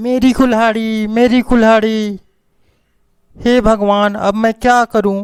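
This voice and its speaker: A man's put-on character voice, high and raspy, flat and monotone at a fairly slow pace, with a dry, close sound and no echo. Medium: read story. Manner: loud, grasping.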